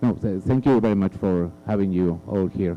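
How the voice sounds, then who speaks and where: Fairly slow and fairly low in pitch, a man speaks with a Spanish accent, a dark, mellow tone and ordinary pitch variation. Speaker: panelist. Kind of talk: panel discussion. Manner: halting, hesitant.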